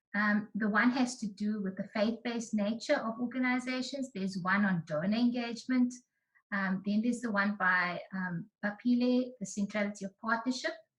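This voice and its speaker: At a moderate pace, a woman speaks in a fairly high pitch, somewhat breathy. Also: ordinary pitch variation. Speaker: researcher presenting findings. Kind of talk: online presentation.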